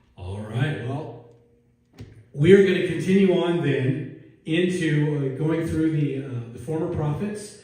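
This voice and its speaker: There is noticeable background noise behind a man with an American accent. His pitch is fairly high, and its variation is ordinary. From US. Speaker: pastor. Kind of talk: sermon. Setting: church. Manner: casual, conversational.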